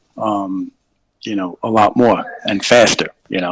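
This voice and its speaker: A man speaks with a New York accent. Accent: New York American English. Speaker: English tutor, caller. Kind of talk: casual live stream chat. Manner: hesitant, many fillers.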